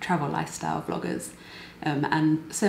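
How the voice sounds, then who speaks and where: A woman with a British accent speaks at a moderate pace with a fairly low pitch and lively intonation. Noticeable background noise and audible room echo are present. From UK. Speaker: knitting and crochet vlogger and designer. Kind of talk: casual vlog chat.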